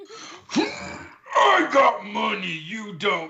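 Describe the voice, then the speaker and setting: A put-on character voice with a raspy sound. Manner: boastful, smug.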